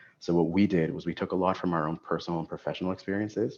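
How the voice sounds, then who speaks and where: Talking at a very fast pace, a man with a very deep, low voice keeps a monotone, flat intonation against a quiet background. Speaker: student affairs professional. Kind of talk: webinar presentation.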